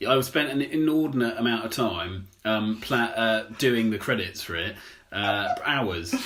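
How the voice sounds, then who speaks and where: The voice has ordinary pitch variation. Noticeable background noise sits behind it. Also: man. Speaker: podcast co-host. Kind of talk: casual chat. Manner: halting.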